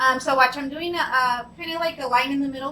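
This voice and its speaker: A woman speaks in a raised, projected voice. Her pitch is high. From Mexico. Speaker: art instructor, high school math teacher. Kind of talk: painting tutorial. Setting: home studio with background music. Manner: chatty, code-switching English and Spanish.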